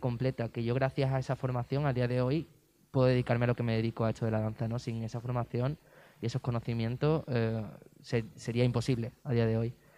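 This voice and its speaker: At a fairly quick pace, a man with an Andalusian accent speaks in a dark, mellow tone. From Andalusia, Spain (Cádiz province). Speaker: dancer. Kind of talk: interview.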